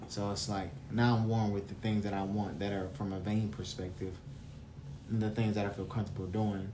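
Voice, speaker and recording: With an American accent, a man talks at a fairly quick pace, his pitch fairly low and his intonation fairly even. His tone is dark, mellow and somewhat breathy, with audible room echo. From US South. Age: 20s. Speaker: podcast host. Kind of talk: casual chat.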